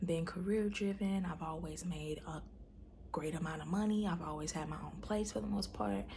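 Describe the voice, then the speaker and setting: Speaking at a fairly quick pace with an American accent, a woman shows vocal fry and ordinary pitch variation, and there is audible room echo. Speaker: vlogger, stay-at-home mom. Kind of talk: personal video diary. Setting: at home. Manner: soft-spoken, speaking low; hesitant, many fillers.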